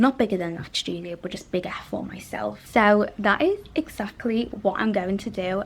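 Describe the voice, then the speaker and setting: A woman with a Liverpool accent talks at a moderate pace with ordinary pitch variation. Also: medium pitch for a woman. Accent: Liverpool (Scouse) English. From northern England, Liverpool. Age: 20s. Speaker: interior designer and vlogger. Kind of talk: casual vlog talk to camera. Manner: casual, chatty.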